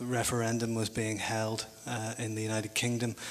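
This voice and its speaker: With a Northern Irish accent, a man speaks at a moderate pace and medium pitch in a monotone, flat intonation over noticeable background noise. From Northern Ireland. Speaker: academic panel speaker. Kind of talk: conference talk. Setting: conference panel in hotel. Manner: halting, many fillers and repetitions.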